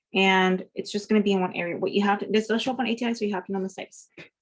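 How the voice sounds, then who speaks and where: A woman speaks at a medium pitch. She has a normal speaking voice. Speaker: nursing student. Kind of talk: study review tutorial. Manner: casual, filler-heavy.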